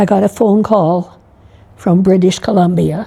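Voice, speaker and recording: A woman talks very slowly in a dark, mellow tone that is somewhat breathy. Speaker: nun, retired teacher and massage therapist. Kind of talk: interview testimony. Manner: halting, with fillers.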